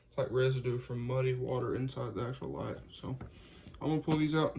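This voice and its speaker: A man speaks at a medium pitch. His voice is quiet. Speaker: custom car light builder. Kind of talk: casual video walkthrough.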